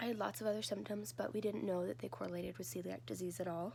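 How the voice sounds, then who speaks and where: Very fast speech comes from a woman with a fairly low pitch. Her pitch swings very widely. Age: 20s. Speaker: vlogger sharing health story. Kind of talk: personal testimony. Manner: casual, hesitant.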